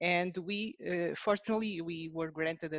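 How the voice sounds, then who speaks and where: A woman with a Portuguese accent speaks at a fairly low pitch and a moderate pace. Her pitch varies in an ordinary way, and the sound is dry and close with no echo. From Portugal. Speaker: researcher. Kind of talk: webinar presentation. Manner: halting.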